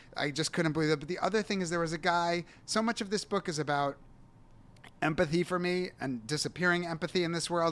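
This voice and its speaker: Talking at a very fast pace, a man with a fairly high pitch is heard on a very clean recording against a silent background. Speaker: novelist and short story writer. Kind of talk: interview about his novel. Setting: studio at a museum. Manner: animated, gesticulating.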